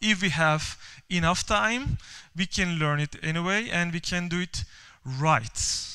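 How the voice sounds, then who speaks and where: In a bright, sharp tone with a Turkish accent, the speaker goes at a fairly slow pace with ordinary pitch variation, on a very clean recording with a silent background. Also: man. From Turkey. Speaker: software developer and conference speaker. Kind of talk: conference talk. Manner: halting, many fillers and repeats.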